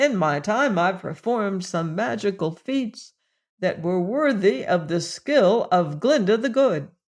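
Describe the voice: Plain reading aloud with lively intonation in a quiet background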